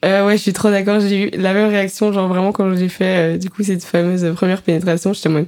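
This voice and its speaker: A woman talks at a very fast pace with hardly any pauses. Her medium-pitched voice stays monotone and flat. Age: 20s. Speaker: student podcast co-host. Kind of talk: casual chat.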